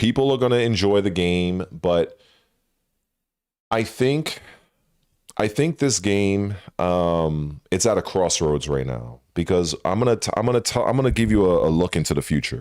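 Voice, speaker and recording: A man's very deep, low pitch with very wide pitch swings at a moderate pace. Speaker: gaming streamer. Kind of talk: livestream commentary. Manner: halting, repetitive.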